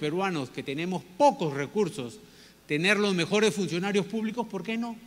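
A high-pitched man speaks with lively intonation at a moderate pace. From Peru (Piura, Callao). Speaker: business leader and former minister giving a talk. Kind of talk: lecture. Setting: stage with audience. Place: stage. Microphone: handheld.

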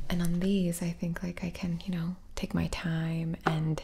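Soft-spoken and fairly low-pitched, a woman talks with fairly even intonation amid noticeable background noise. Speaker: streamer. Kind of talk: casual vlog chat. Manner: soft-spoken, hushed ASMR talk. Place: home room. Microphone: studio mic.

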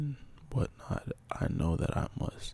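Whispering at a moderate pace, a man keeps a relaxed, calm tone. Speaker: poet, ASMR creator. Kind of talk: ASMR poetry practice, casual talk to camera. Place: home room. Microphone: handheld.

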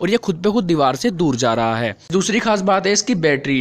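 The voice moves at a moderate pace in a dry sound with no echo. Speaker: toy reviewer. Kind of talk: product review commentary.

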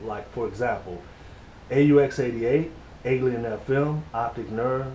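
Light background noise and audible room echo surround a man who speaks at a fairly slow pace. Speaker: interviewer. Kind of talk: recorded interview. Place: home room. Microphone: camera far.

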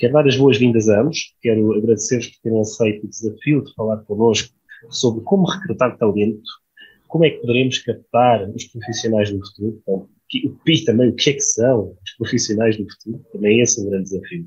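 Over a quiet background, a man talks at a fairly quick pace with big swings in loudness. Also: ordinary pitch variation. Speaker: panel moderator. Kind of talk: moderator introduction. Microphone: earbuds.

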